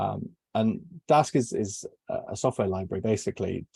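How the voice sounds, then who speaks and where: In a southwest English accent, a man speaks at medium pitch and a moderate pace, somewhat breathy, with a dark, mellow tone and a dry, close sound with no echo. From southwest England. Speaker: software engineer. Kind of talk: technical presentation. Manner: hesitant, many fillers.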